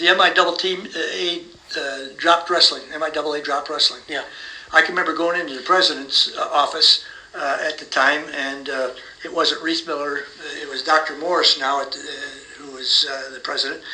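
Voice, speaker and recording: Against noticeable background noise, a man talks at a moderate pace, his fairly high pitch held in fairly even intonation. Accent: American. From US Midwest (South Bend, Indiana). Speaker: retired college wrestling coach. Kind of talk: interview.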